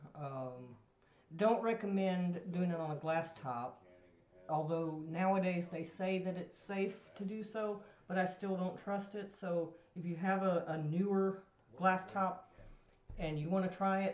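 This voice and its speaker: The delivery is fairly slow, broken by long, frequent pauses, over noticeable background noise. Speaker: home food preservation expert. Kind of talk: casual chat. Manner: soft-spoken.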